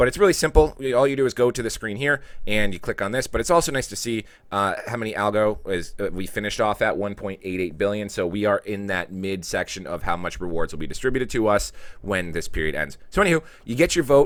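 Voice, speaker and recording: A man with an American accent speaks very fast at a fairly low pitch, with noticeable background noise. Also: lively intonation. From New York. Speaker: video creator explaining crypto governance voting. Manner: fast talker.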